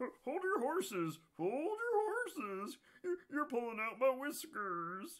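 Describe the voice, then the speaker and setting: This put-on character voice is high and squeaky, sweeping through very wide pitch swings at a fairly slow pace. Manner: crying out, pleading.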